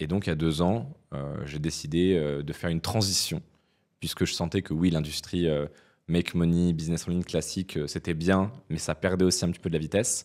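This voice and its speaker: Fairly even intonation and a fairly quick pace come through against a quiet background. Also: man, very deep, low pitch for a man. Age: 20s. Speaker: entrepreneur; podcast guest. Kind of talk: interview. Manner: hesitant with frequent fillers. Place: studio. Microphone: studio mic.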